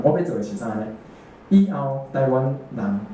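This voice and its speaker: A medium-pitched man, with audible room echo and light background noise. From Taiwan. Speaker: amateur political cartoonist; speaker. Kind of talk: panel talk answering audience questions. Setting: talk at a small exhibition opening with audience. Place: meeting room.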